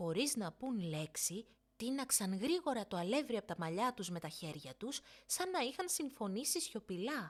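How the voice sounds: The voice moves through big pitch swings. It is a very clean recording with a silent background. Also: woman, medium pitch for a woman.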